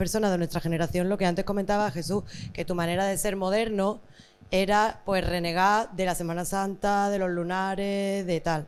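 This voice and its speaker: In a very clean recording with a silent background, a woman with an Andalusian accent talks at a fairly quick pace. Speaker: panelist. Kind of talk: panel discussion.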